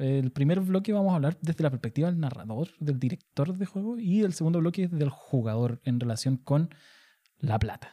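A man's fairly high, somewhat breathy voice with a dark, mellow tone, at a moderate pace, in a dry, close sound with no echo. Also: lively intonation, very even loudness. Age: 30s. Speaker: podcast host. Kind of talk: casual chat. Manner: halting.

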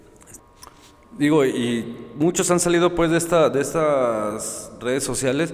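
Speaking at a fairly slow pace with big swings in loudness, a man with a fairly high pitch is heard through audible room echo and noticeable background noise. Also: ordinary pitch variation. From Mexico, Guadalajara. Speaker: philosophy teacher and editor. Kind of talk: casual conversation.

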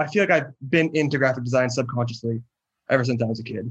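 In a West Coast accent, a man talks at a medium pitch with ordinary pitch variation. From US Pacific Northwest, near Seattle. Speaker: graphic designer and illustrator. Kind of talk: casual interview.

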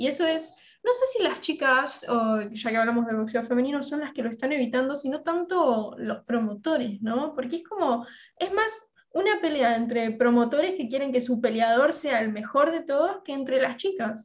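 In an Argentine accent, a woman talks at a moderate pace with a high pitch and lively intonation. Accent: Argentine Spanish (Rioplatense). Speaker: podcast co-host. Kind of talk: interview.

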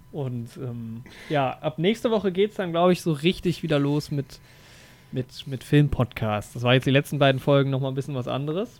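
The speaker uses a normal speaking voice at a moderate pace with ordinary pitch variation. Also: man, fairly high pitch for a man. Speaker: film podcast host. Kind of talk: casual chat.

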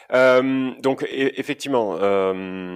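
The man talks with pitch that rises and falls in an ordinary way. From Basque Country, France. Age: 30s. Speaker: property investor. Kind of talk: interview. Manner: outspoken.

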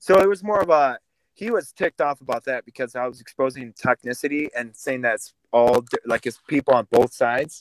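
At a fairly quick pace, a man with a medium pitch speaks in lively intonation. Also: dry, close sound with no echo. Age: 20s. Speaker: podcast host, Air Force veteran. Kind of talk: casual interview. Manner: animated.

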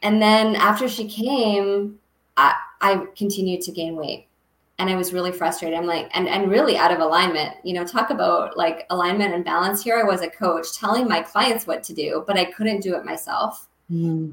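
A woman's normal speaking voice at medium pitch, moderate pace and ordinary pitch variation. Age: 30s. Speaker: health coach. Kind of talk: casual interview.

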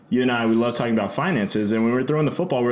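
Noticeable background noise sits behind this man. His voice is at medium pitch with ordinary pitch variation. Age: 20s. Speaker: podcast co-host. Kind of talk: casual chat.

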